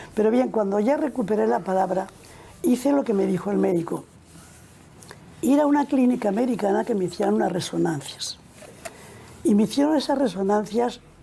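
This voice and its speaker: The pitch of this voice swings very widely. Its pace is moderate. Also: woman. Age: 80s+. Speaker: nun. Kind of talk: interview answer.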